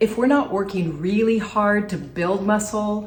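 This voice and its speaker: A woman talks at a fairly slow pace, with audible room echo and noticeable background noise. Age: 60s. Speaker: functional nutritionist. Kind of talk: health tutorial to camera.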